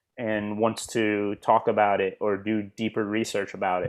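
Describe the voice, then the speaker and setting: An American accent in a very clean recording with a silent background. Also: man. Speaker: English teacher. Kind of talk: lecture. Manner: slow.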